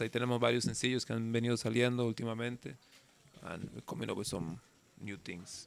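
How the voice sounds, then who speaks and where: Fast-talking at a very quick pace, a man keeps his intonation fairly even in a dry sound with no echo. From Costa Rica, Calle Blancos (San José area); Costa Rica. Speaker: reggae singer; guest. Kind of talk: casual interview. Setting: outdoors in the jungle. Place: garden. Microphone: studio mic.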